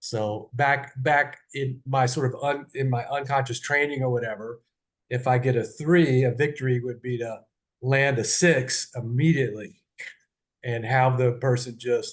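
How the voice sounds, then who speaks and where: This is a man with a medium pitch and a somewhat breathy voice. His intonation stays fairly even. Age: 60s. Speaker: podcast host and leadership trainer. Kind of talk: personal podcast monologue. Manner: halting, many fillers and restarts.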